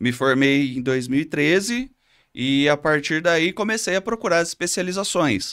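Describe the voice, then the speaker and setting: A man with a São Paulo countryside accent speaks at a fairly high pitch and very even loudness in a very clean recording with a silent background. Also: lively intonation, moderate pace. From Brazil, Catanduva, São Paulo state countryside. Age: 30s. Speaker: physiotherapist, local council candidate. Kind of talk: interview. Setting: studio.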